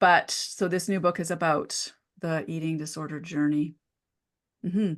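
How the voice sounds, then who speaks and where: A woman speaks in an ordinary speaking voice at a fairly low pitch and a moderate pace. Her intonation is fairly even, and the background is quiet. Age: 50s. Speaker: naturopathic doctor and author. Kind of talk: interview.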